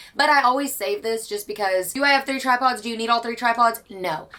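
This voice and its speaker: A woman's animated voice with ordinary pitch variation over noticeable background noise. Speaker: book vlogger. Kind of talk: casual chat. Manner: loud.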